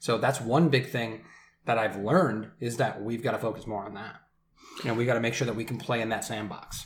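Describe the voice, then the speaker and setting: A man's somewhat breathy voice at a medium pitch in an American accent, fairly even in intonation, at a fairly quick pace, with audible room echo. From Michigan. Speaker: brewery sales director. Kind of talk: casual chat. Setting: in person at a bachelor party.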